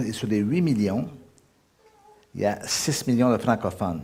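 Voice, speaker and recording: Through audible room echo and noticeable background noise, a man speaks at a fairly low pitch. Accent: Quebec. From Quebec. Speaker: guest preacher. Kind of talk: sermon. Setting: church service. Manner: hesitant with fillers.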